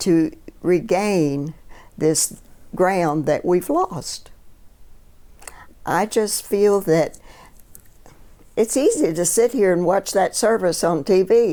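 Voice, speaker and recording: A woman speaks very slowly, with long, frequent pauses and very even loudness. Her medium pitch and dark, mellow tone carry lively intonation. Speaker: retired clergy. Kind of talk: oral history interview.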